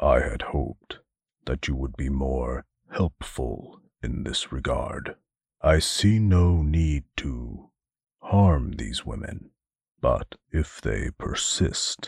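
Using a put-on character voice, a man speaks with a very deep, low pitch. His pace is very slow. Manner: formal, stiff, pained.

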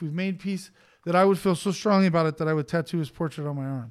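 A man with an American accent speaks very fast in a high pitch, with ordinary pitch variation. The recording is very clean, with a silent background. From East Los Angeles. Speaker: tattoo artist. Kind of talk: casual chat.

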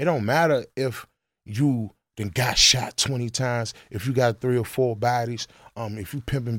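In an American accent, a man speaks with an ordinary speaking voice at medium pitch and ordinary pitch variation. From Washington DC (Northeast). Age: 30s. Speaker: rapper. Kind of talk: casual interview.

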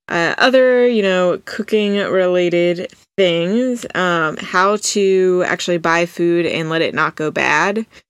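On a very clean recording with a silent background, a woman speaks at a very slow pace with hardly any pauses, a medium pitch and ordinary pitch variation. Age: 20s. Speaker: podcast host. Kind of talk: solo monologue. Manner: casual, conversational.

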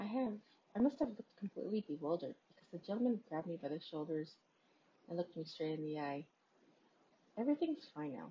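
A woman speaks very fast at a fairly low pitch, somewhat breathy, with very wide pitch swings, big swings in loudness, and long, frequent pauses. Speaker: podcast host reading a creepypasta. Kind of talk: ghost story telling, reading a horror story aloud.

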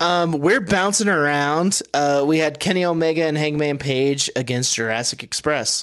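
Holding his loudness very even, a man with a fairly high voice speaks at a moderate pace. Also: ordinary pitch variation, hardly any pauses. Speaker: wrestling podcast host. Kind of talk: casual chat.

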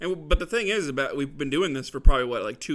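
Over a very clean recording with a silent background, a man speaks with an American accent. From Arizona (Gilbert). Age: 20s. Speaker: podcast co-host. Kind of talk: casual chat.

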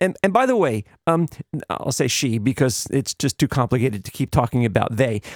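In a dry, close sound with no echo, a man talks at a fairly quick pace and medium pitch with lively intonation. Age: 60s. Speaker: podcast host. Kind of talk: personal monologue. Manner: halting, with frequent fillers and repeated words.

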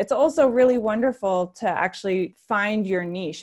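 A plain, everyday voice with an American accent speaks at a moderate pace with lively intonation. The recording is very clean, with a silent background. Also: woman. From US, various places (military family). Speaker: nonprofit executive director. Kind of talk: podcast interview.

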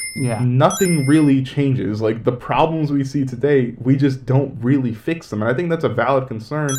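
With hardly any pauses, a medium-pitched man speaks over noticeable background noise. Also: ordinary pitch variation, moderate pace. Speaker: podcast co-host. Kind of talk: casual chat.

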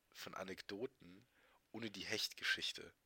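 A man talks at a fairly slow pace with a bright, sharp tone. The sound is dry and close, with no echo. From Germany, Trier region. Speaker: podcast co-host. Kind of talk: casual chat.

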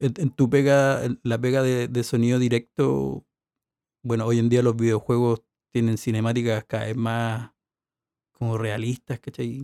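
A man's dark, mellow voice with a Chilean accent, fairly even intonation, and a dry, close sound with no echo. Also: medium pitch for a man. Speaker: sound engineer. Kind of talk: casual chat.

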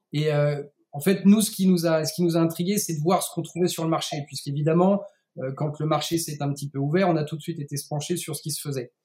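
The speech runs very fast with fairly even intonation. Its tone is dark and mellow. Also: man, fairly high pitch for a man. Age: 30s. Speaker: CBD producer and entrepreneur. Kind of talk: interview.

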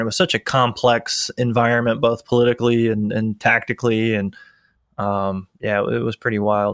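Over a quiet background, a man with an American accent speaks at a fairly quick pace in an unremarkable speaking voice, with fairly even intonation. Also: dry, close sound with no echo. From Florida (Tampa). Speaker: podcast host, Army helicopter pilot. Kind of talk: casual interview.

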